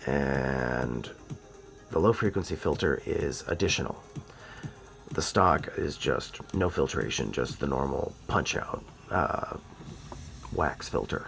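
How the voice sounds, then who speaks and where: Over music in the background, a man talks at a very slow pace, leaving long, frequent pauses. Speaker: audio gear reviewer. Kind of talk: casual unboxing talk to camera. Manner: casual, informal.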